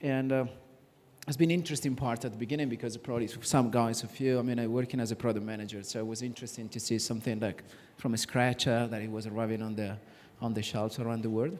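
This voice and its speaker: This man has an Italian accent. He talks at a very fast pace. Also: medium pitch for a man, fairly even intonation. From Italy. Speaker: sports company executive. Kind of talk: panel discussion. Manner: halting.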